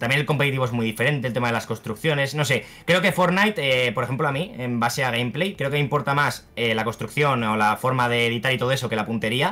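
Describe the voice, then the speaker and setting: A man talks at a very fast pace in a medium pitch, with a bright, sharp tone and ordinary pitch variation. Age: 20s. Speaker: youtuber and content creator; guest. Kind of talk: interview. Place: home room.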